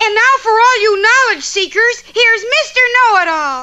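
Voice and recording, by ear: An extremely high-pitched cartoonish character voice. The pace is moderate.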